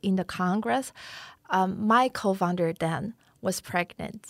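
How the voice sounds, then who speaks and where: At a very slow pace, a woman talks at a medium pitch on a very clean recording with a silent background. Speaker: activist and live streamer. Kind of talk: interview conversation. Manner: halting.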